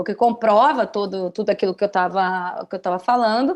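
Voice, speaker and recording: Over a quiet background, a woman with a fairly high pitch speaks in an animated tone at a moderate pace, with ordinary pitch variation. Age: 30s. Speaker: journalist. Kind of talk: podcast interview.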